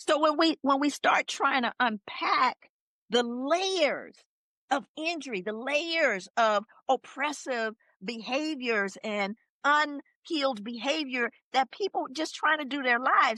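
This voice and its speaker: A woman's raised, projected voice, high-pitched with a bright, sharp tone and lively intonation, at a very slow pace, in a dry, close sound with no echo. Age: 60s. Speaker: author and social scientist. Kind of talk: podcast interview. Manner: animated.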